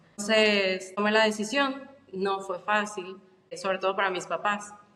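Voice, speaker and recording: The speech moves at a fairly slow pace. Intonation stays fairly even. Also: woman, medium pitch for a woman. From Mexico, Guadalajara. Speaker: podcast guest. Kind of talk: casual interview chat.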